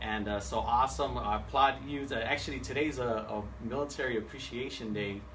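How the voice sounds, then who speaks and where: Audible room echo surrounds a man talking at a fairly quick pace. His medium pitch carries lively intonation. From San Diego, California. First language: Spanish. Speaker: seminar speaker, home loan professional. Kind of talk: seminar presentation. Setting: live event with audience, streamed on Facebook Live. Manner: animated; halting, many fillers and repeats.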